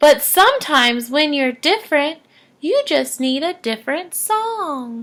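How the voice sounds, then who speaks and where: A woman puts on a character voice, high-pitched and gentle in tone, with very wide pitch swings. She speaks at a fairly slow pace. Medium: read story.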